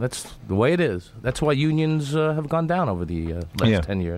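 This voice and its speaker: A man at a moderate pace with very wide pitch swings, a dry sound with no echo and light background noise. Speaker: radio station engineer, side-job DJ. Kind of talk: radio talk show chat. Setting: radio studio. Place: studio. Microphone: studio mic.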